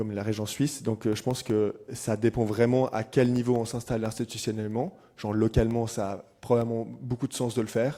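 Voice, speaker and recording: In a very clean recording with a silent background, a man speaks at a medium pitch with a dark, mellow tone. His delivery is fairly quick, with hardly any pauses and monotone, flat intonation. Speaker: climate activist. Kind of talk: panel discussion. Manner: halting.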